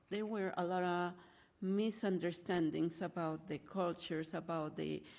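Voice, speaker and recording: A woman speaks with a Spanish accent at a fairly slow pace, her pitch fairly low and her intonation flat and monotone. The recording is very clean, with a silent background. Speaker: nonprofit director. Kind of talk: talk.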